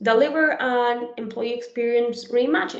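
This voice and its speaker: Audible room echo follows a woman as she talks in a high pitch. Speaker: conference speaker on HR software. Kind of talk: webinar presentation and Q&A.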